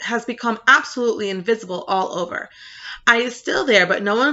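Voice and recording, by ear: The speaker is reading aloud in a natural voice, pitch rising and falling in an ordinary way.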